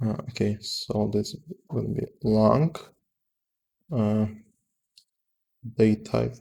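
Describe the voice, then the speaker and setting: A man speaks with a non-native accent. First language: not English. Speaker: software developer. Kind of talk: live coding tutorial. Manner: halting, many fillers.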